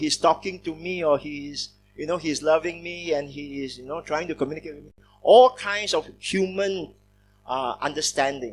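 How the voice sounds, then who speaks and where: Background music accompanies a man with a fairly high pitch. He talks at a moderate pace with ordinary pitch variation. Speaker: pastor teaching theology. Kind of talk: lecture. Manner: conversational, with fillers.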